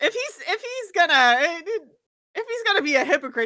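A woman talks at a fairly quick pace. Her voice is raised and projected. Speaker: player of the Speed Demon character. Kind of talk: casual tabletop roleplaying chat. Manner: casual, hesitant with fillers and laughs.

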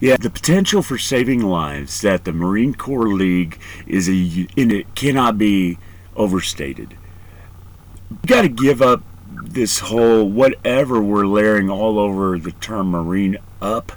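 With ordinary pitch variation and a fairly low pitch, a man speaks at a fairly slow pace in a plain, everyday voice. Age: 40s. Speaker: podcast host and Marine veteran. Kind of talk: casual interview.

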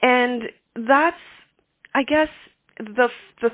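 A woman talks at a moderate pace, her pitch varying in an ordinary way.

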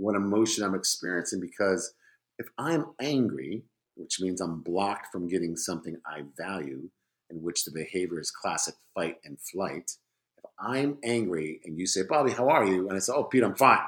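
With a very deep, low pitch and lively intonation, a man speaks in big swings of loudness. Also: moderate pace. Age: 50s. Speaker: podcast guest, former Spanish teacher. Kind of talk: casual chat.

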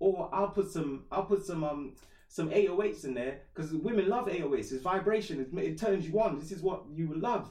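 This man's voice is high-pitched with a dark, mellow tone and ordinary pitch variation. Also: moderate pace. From Trinidad, moved to England at 11. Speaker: musician and rapper. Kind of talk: casual chat.

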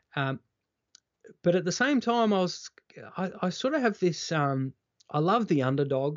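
With an Australian accent, a man talks at a moderate pace in a high voice, his pitch swinging very widely, with long, frequent pauses. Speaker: former TV reporter, keynote speaker. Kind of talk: interview conversation. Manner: energetic.

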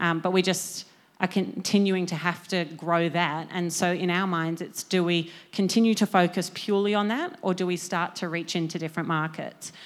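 The speaker has an Australian accent and a monotone, flat intonation at a moderate pace. The recording is very clean, with a silent background. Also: woman, fairly low pitch for a woman. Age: 20s. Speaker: media startup co-founder. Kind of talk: conference talk. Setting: stage with audience.

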